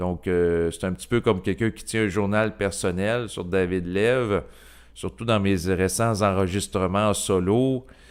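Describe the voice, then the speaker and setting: A man speaks with a Quebec accent in a fairly low voice. His pace is fairly slow, with ordinary pitch variation. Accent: Québécois French. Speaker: YouTuber, personal development channel. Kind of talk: casual monologue to camera. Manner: hesitant, many fillers.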